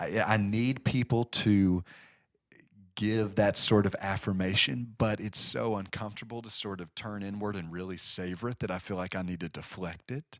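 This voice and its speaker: On a very clean recording with a silent background, a man uses a plain, everyday voice with fairly even intonation and big swings in loudness. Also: fairly low pitch for a man, moderate pace. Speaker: pastor and law professor. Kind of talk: interview conversation.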